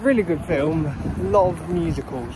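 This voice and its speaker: A man talks at a moderate pace over loud background noise, in a dry sound with no echo. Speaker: vlogger. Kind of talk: casual vlog chat. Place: street. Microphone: phone near.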